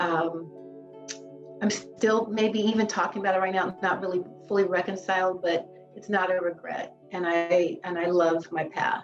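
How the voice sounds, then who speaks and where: Music in the background behind a woman's moderately paced speech. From Los Angeles. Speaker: clinical social worker. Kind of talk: interview answer.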